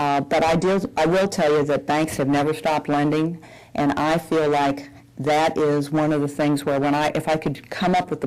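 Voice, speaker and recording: With a Southern US accent, a woman speaks at a moderate pace in a very deep, low pitch and a monotone, flat intonation. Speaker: bank executive. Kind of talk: public Q&A.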